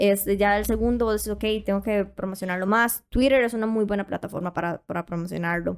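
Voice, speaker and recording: A woman with a Costa Rican accent at a medium pitch, fairly quick pace, fairly even intonation and hardly any pauses, on a very clean recording with a silent background. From Costa Rica, Puntarenas. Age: young. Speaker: online content seller. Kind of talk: casual interview.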